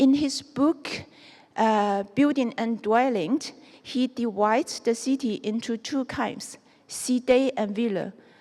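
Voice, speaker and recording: Speaking very slowly with a Chinese accent, a woman has a high pitch, a dark, mellow tone, and ordinary pitch variation. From southern China (Guangxi). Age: 40s. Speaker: architect. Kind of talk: lecture. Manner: halting.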